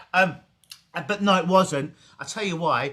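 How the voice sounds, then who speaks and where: The tone is bright and sharp, in an English accent. Pitch variation is ordinary and the pace moderate. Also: man. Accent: English accent, noticeable in Canada. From England. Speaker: hypnotist. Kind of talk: casual interview. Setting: video call.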